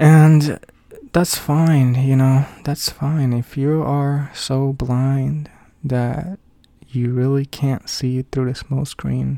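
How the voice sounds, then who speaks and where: This man talks at a very slow pace in a dark, mellow tone, his intonation monotone and flat. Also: medium pitch for a man. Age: 30s. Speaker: podcaster and father working from home. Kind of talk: unscripted personal monologue. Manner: halting, many fillers. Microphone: cheap equipment, no audio processing.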